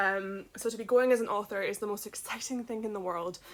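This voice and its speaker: A woman of medium pitch speaks in a Scottish accent at a fairly quick pace with ordinary pitch variation, on a very clean recording with a silent background. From Scotland, village outside Edinburgh. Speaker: children's book author. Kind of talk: casual vlog update.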